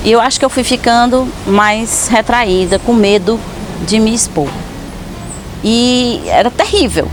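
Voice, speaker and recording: With music in the background, a woman with a fairly high pitch and a relaxed tone speaks at a fairly slow pace, taking long, frequent pauses at very even loudness. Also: ordinary pitch variation. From Ceará, Brazil. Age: 40s. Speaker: actress and performer. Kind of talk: personal life story monologue. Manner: spontaneous, relaxed.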